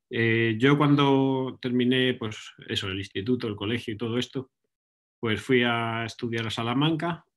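The background is quiet. A man speaks with ordinary pitch variation. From Spain, Ávila; Spain. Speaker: research scientist. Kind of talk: lecture. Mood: relaxed, friendly. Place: home room. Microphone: webcam.

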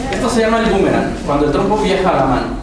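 With lively intonation, a man talks in a space with strong room echo and noticeable background noise. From Mexico. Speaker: spinning-top performer. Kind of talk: live demonstration for schoolchildren. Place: hall.

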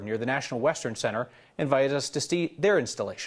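Very fast male speech with quiet surroundings. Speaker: news anchor. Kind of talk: news reading. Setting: studio. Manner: grave, measured, formal. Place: studio. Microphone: lapel.

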